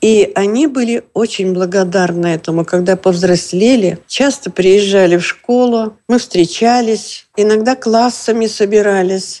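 A dark, mellow tone at a fairly slow pace, with hardly any pauses and ordinary pitch variation. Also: woman, medium pitch for a woman. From Russia, Leningrad region. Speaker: retired chemistry teacher. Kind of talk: interview reminiscence. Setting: video call.

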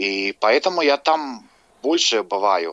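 Lively intonation carries a man's medium-pitched voice. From Dagestan. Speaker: caller. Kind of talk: phone-in comment. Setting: phone call. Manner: halting.

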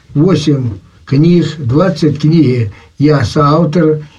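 A man with a fairly high pitch and a dark, mellow tone sounds somewhat breathy, with ordinary pitch variation. Audible room echo surrounds his voice. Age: 80s+. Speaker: poet and war-era witness. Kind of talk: personal introduction. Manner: halting.

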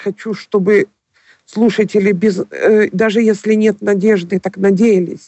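Pausing long and often, a woman speaks at a very slow pace with monotone, flat intonation. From Ukraine, Kyiv. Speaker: singer. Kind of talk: interview. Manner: halting.

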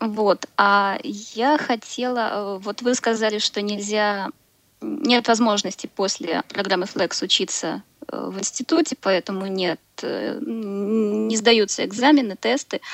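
Very slow speech from a woman of medium pitch, ordinary pitch variation, and a dry, close sound with no echo. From Belarus. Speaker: caller, former exchange student. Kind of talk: call-in on live radio.

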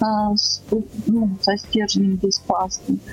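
Noticeable background noise sits behind a woman speaking at a very slow pace. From Saint Petersburg, Russia. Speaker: blind artist. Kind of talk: radio interview.

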